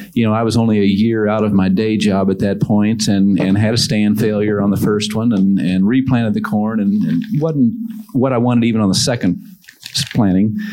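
Amid noticeable background noise and audible room echo, a man speaks at a fairly low pitch and a moderate pace, with fairly even intonation and very even loudness. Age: 50s. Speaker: farmer. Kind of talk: panel discussion.

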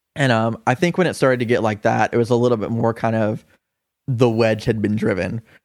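An ordinary speaking voice from a man with an American accent, medium pitch, ordinary pitch variation and a fairly quick pace. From US South, Augusta, Georgia. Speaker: musician and coffee shop manager. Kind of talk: casual chat.

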